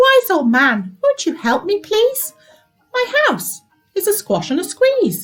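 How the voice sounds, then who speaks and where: Using a squeaky, put-on character voice, a woman talks at a fairly slow pace with extremely high pitch and very wide pitch swings while faint music plays in the background. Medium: read story. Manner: complaining, fretful.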